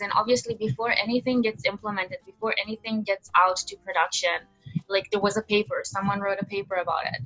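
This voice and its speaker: A woman at a medium pitch and fairly quick pace with a non-native accent, music playing behind her. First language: not English. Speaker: undergraduate machine learning researcher. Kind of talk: interview. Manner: casual, animated.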